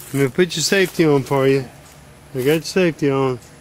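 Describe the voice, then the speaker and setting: Against light background noise, with a dry sound and no echo, a man speaks at a moderate pace in a fairly high pitch with ordinary pitch variation. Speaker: bowhunting equipment demonstrator. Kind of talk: coaching and commentary to camera. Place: garden. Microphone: phone near.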